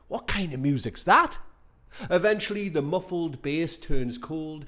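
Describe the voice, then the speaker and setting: The speaker has a Geordie accent. The recording is very clean, with a silent background. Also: man. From northern England, Newcastle upon Tyne. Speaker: performance poet. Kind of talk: spoken word performance.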